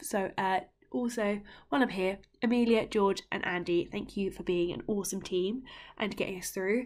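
This woman has a British accent. Her pitch varies in an ordinary way. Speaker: podcast host and scout leader. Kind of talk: casual podcast narration and recap.

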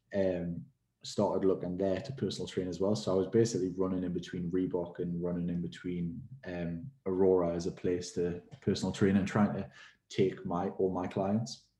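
In a Geordie accent, a man speaks at a moderate pace with a very deep, low pitch, a dark, mellow tone and fairly even intonation against a quiet background. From Newcastle, England. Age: 20s. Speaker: personal trainer and gym owner. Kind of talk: casual interview chat.

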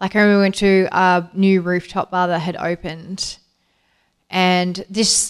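Recorded very cleanly against a silent background, a woman speaks at a fairly slow pace and a medium pitch. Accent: Australian. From Australia, Perth. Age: 40s. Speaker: interviewee. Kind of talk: casual chat.

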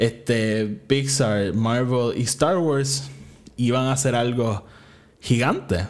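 At a very slow pace, a man talks with medium pitch. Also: ordinary pitch variation. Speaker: podcast host. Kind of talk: casual solo commentary.

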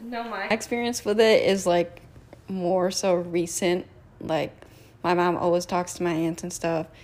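Fairly low in pitch, a woman with a normal speaking voice talks at a fairly slow pace with fairly even intonation. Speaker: student club officer. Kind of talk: casual chat.

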